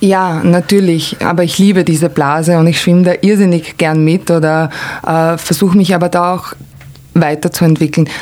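A woman's fairly low pitch in monotone, flat intonation over noticeable background noise. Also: moderate pace. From Croatia (former Yugoslavia). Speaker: art consultant and cultural manager. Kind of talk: casual interview conversation.

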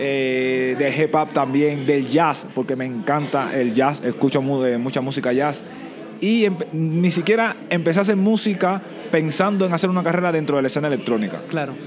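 With music in the background, a man of fairly high pitch talks at a moderate pace with ordinary pitch variation. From Cuba, Santiago de Cuba. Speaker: DJ and music producer. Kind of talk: interview.

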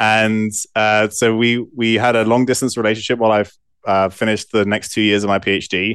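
Talking fairly quickly in an English accent, a man with a fairly low pitch keeps a monotone, flat intonation and very even loudness against a quiet background. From southwest England. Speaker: physician and scientist. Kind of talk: interview.

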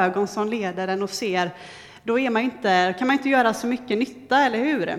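Here is a woman with a normal speaking voice and a fairly high pitch. She keeps a moderate pace with ordinary pitch variation. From western Sweden, near Gothenburg. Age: 30s. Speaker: lay preacher, trainee judge. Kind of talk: sermon.

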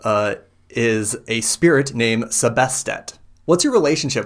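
Natural-sounding read-aloud voice with lively intonation

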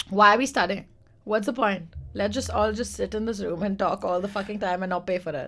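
A woman speaks at a fairly quick pace in a bright, sharp tone, her medium-pitched voice showing vocal fry and ordinary pitch variation. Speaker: podcast co-host. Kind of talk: casual banter podcast chat.

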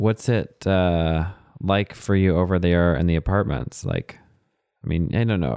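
A man with an American accent, a very deep, low pitch and ordinary pitch variation. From Texas. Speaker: podcast host. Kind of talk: casual interview.

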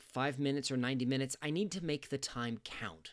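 The very clean recording, with a silent background, captures a man speaking at a moderate pace. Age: 40s. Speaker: podcast host. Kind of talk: scripted narration.

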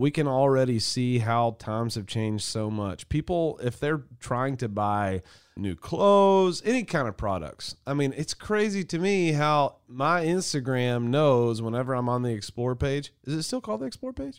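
A man's normal speaking voice at medium pitch, moderate in pace with hardly any pauses and lively intonation, on a very clean recording with a silent background. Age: 30s. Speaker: marketing agency podcast host. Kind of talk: casual chat. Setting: studio.

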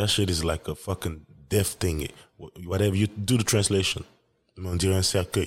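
A man with a West African accent talks at a fairly quick pace in a very deep, low pitch, his voice somewhat breathy. His intonation stays fairly even, and the recording is very clean with a silent background. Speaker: solo podcaster. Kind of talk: casual solo monologue. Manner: casual, profane, laid-back.

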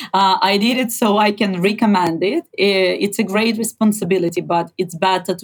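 A woman speaks with a Ukrainian accent at a moderate pace. Her pitch is medium and her intonation fairly even. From Ukraine. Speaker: journalist and activist. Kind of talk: interview.

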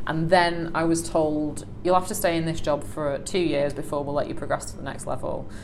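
A woman with a fairly low voice talks at a fairly quick pace with hardly any pauses and monotone, flat intonation, amid noticeable background noise and audible room echo. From northern England, Salford. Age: 20s. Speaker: operations manager. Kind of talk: interview conversation.

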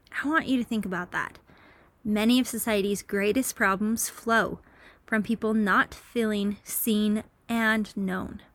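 A fairly slow pace on a very clean recording with a silent background. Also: woman. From Utah. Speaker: religious podcast host for teens. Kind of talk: inspirational talk.

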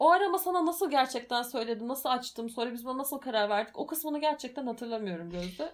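Talking very fast, a woman uses lively intonation at a high pitch. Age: 20s. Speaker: podcast co-host. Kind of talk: casual chat.

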